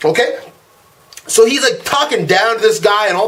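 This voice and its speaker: The voice swings very widely in pitch over noticeable background noise. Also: man. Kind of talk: casual rant to camera. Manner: fast-talking.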